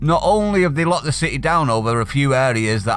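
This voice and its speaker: This speaker talks at a moderate pace in a Manchester accent, the pitch swinging very widely. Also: man. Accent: Mancunian. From Manchester, northern England. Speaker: political commentary youtuber. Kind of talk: opinion rant reading from an article. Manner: animated.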